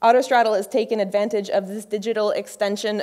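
A woman speaks over a quiet background. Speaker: conference speaker. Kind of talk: lecture. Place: stage. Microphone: podium.

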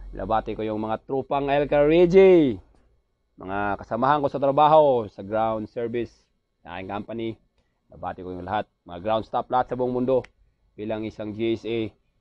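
A man with a Visayan accent speaks at a moderate pace and medium pitch, with ordinary pitch variation and big swings in loudness. The sound is dry with no echo against a quiet background. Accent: Visayan accent when speaking Tagalog. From Visayas, Philippines. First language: Cebuano (speaking Tagalog). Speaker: vlogger and aircraft ground mechanic; vlogger. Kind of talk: casual vlog monologue. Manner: animated. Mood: joking, playful. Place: home room.

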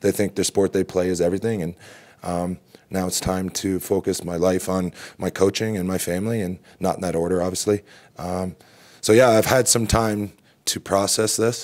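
Over a quiet background, a man with a very deep, low pitch talks at a moderate pace with fairly even intonation. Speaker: lacrosse coach. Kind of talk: interview answer. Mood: reflective, calm. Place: hall. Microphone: podium.

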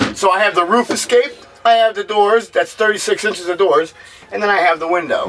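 Over light background noise, a man talks at a fairly quick pace. His pitch varies in an ordinary way. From northern New Jersey (Sussex County); New Jersey. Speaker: homemade camper builder. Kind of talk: casual chat. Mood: relaxed, friendly.

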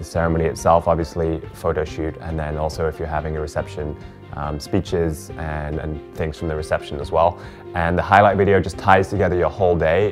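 Clear music plays in the background. The intonation stays fairly even. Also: man, very deep, low pitch for a man, fairly quick pace. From England. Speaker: wedding videographer. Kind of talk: casual talk to camera. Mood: warm, friendly, relaxed. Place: home room.

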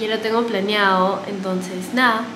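Over noticeable background noise, a woman talks fairly slowly with fairly even intonation. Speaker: beauty vlogger. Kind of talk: casual vlog chat. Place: bathroom. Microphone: phone near.

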